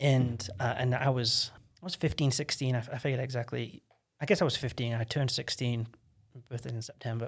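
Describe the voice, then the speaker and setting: Somewhat breathy and medium in pitch, a man with an American accent speaks at a fairly quick pace on a very clean recording with a silent background. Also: ordinary pitch variation. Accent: English accent drifting American. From England, Stoke-on-Trent. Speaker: podcast guest, church member. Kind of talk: casual interview chat.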